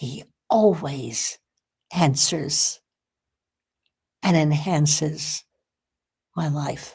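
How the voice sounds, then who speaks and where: A woman speaks in a very deep, low voice with a somewhat breathy quality. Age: 80s+. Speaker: spiritual broadcast host. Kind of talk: inspirational talk; reading aloud.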